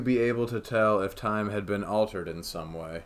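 Speaking in an American accent, a man has an ordinary speaking voice. It sits fairly low in pitch with ordinary variation. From United States. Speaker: podcast host. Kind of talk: casual chat.

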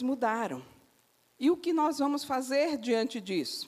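Speaking at a very slow pace, a woman uses a high pitch with ordinary pitch variation. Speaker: preacher. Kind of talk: sermon.

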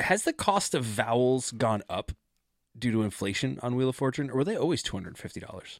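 A man with an unremarkable speaking voice talks at a fairly quick pace, medium in pitch, with lively intonation. The sound is dry and close with no echo, on a very clean recording with a silent background. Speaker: podcast co-host. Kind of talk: casual chat.

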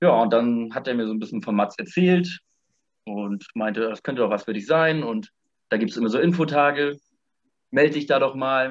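Lively in intonation, a man of medium pitch talks at a moderate pace with long, frequent pauses. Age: 20s. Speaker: former volunteer abroad. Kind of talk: casual interview.

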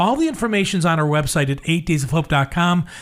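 A man speaks at a high pitch with very wide swings up and down, at a fairly quick pace. The recording is very clean, with a silent background. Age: 60s. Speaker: radio host. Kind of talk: casual chat.

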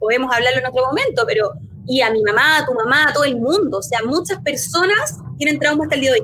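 Over noticeable background noise, a raised, projected voice with a Chilean accent rushes along at a very fast pace, with lively intonation and very even loudness. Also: woman, high pitch for a woman. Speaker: lawyer. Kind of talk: casual chat.

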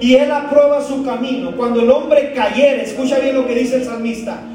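Amid noticeable background noise, a man speaks in a monotone, flat way at an extremely high pitch. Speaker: pastor. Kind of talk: sermon. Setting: church. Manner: urgent, exhorting, emphatic.

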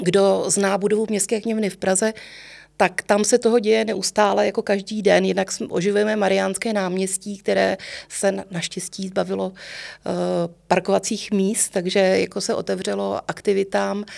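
A woman's medium-pitched voice at a moderate pace, in monotone, flat intonation. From Prague (Letná, Prague 7). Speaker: music librarian. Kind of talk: interview. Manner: halting.

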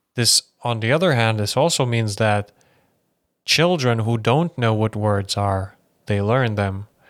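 A man talks at a fairly slow pace in a normal speaking voice, pitched in the middle range. The recording is very clean with a silent background, and his pitch varies in an ordinary way. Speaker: podcast host. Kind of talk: casual chat. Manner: casual, rambling.

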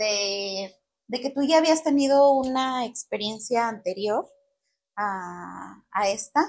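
With a Mexican accent, a woman speaks. Her pace is very slow. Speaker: podcast host. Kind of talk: casual interview chat.

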